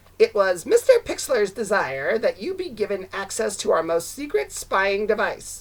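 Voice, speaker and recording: A put-on character voice, female-sounding and fairly high in pitch, at a moderate pace with hardly any pauses. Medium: read story. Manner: ingratiating, annoying.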